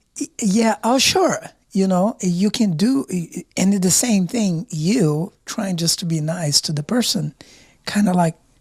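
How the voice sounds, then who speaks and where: A somewhat breathy woman's voice with an American accent, medium in pitch, at a fairly slow pace with ordinary pitch variation, in a dry, close sound with no echo. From outside the US. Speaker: podcast co-host. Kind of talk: casual chat.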